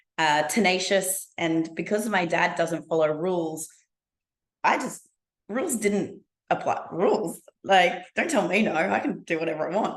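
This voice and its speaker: A woman with an Australian accent speaks at a fairly slow pace, her fairly low voice showing ordinary pitch variation. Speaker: business speaker. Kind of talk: interview.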